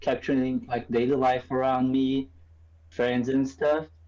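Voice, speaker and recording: The speaker talks with a Portuguese accent. The pace is moderate. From Brazil. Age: 20s. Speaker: photographer. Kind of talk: casual chat.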